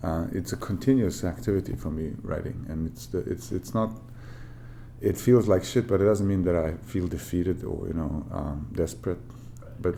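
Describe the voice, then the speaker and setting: A man speaks with a Bosnian accent at a moderate pace. His pitch is very deep and low. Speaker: author. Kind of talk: interview. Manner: halting, many fillers.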